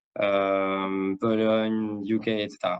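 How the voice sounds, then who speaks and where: This man has a fairly low pitch. His intonation is monotone and flat. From Mexico. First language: Spanish (speaking French). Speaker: sales director. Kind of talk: interview. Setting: live stream. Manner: halting, many fillers and repetitions.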